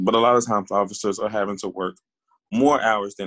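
In a plain, everyday voice, a man with a fairly low pitch speaks at a fairly quick pace with fairly even intonation, the sound dry and close with no echo. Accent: American. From Texas, Waco. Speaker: police officer. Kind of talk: interview.

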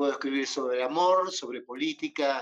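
Speaking with an Argentine accent, a man uses a fairly high pitch, fairly even intonation and a fairly slow pace. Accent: Rioplatense Argentine Spanish. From Argentina, Buenos Aires province (Bordenave, Mar del Plata). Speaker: psychologist and poet. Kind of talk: interview.

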